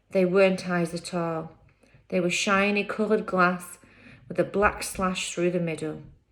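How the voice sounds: This natural reading voice keeps its intonation fairly even.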